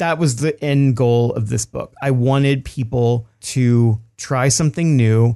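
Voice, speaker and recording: Delivered at a fairly slow pace, the voice has a dark, mellow tone and fairly even intonation. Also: man. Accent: Texan. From Texas. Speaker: cookbook author. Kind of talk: interview.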